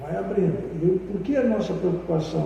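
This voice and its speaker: A man talks at a moderate pace with ordinary pitch variation. Room echo is audible, and background noise is noticeable. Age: 80s+. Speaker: founder of a cultural space. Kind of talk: interview. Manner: halting.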